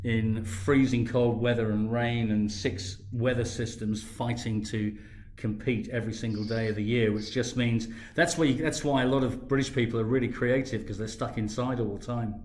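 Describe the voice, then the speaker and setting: At a moderate pace, a man with a medium pitch speaks with fairly even intonation and audible room echo. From southern England, Brighton. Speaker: project founder pitching. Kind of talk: pitch on live audio space; casual chat. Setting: live online audio room. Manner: halting, repeats words.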